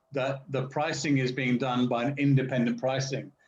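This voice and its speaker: At a moderate pace, a man speaks with a fairly high pitch. There is a somewhat breathy quality to his voice. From England. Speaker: finance professional. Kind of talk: casual chat. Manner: precise diction.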